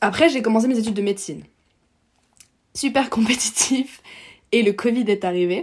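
A somewhat breathy woman speaks with ordinary pitch variation and long, frequent pauses. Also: fairly high pitch for a woman, moderate pace. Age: 20s. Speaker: medical student and climate activist. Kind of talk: casual interview.

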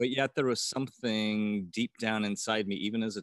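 The speaker has an American accent and talks at a moderate pace. The sound is dry and close, with no echo. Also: man. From US Midwest, rural northwest Ohio. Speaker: banker. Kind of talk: casual interview testimony. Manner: halting, many fillers.

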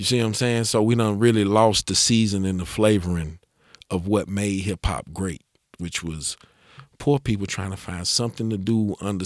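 A man with an ordinary speaking voice, fairly low in pitch, talks at a moderate pace with fairly even intonation in a dry, close sound with no echo. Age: 40s. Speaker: rapper. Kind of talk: casual chat. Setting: studio.

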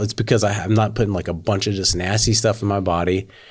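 The voice is somewhat breathy and very fast, in a monotone, flat intonation. The recording is very clean, with a silent background. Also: man. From western Oklahoma. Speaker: business owner. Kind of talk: casual interview.

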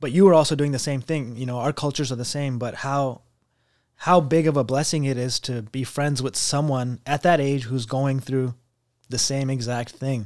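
A plain, everyday voice from a man, medium in pitch and fairly even in intonation, in a very clean recording with a silent background. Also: moderate pace. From US, Pakistani immigrant family. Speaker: mental health professional. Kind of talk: casual chat.

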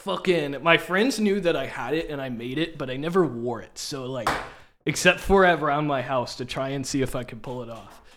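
A man speaks in a normal speaking voice with an American accent, at a fairly quick pace. His pitch is fairly high, with ordinary variation and big swings in loudness. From US Midwest (Kansas City area, Missouri). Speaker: DJ and musician. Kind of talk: casual chat.

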